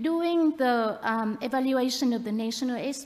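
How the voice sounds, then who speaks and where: A woman with a high pitch and lively intonation at a fairly slow pace, amid audible room echo. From Vietnam. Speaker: NGO director and former doctor. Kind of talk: conference presentation.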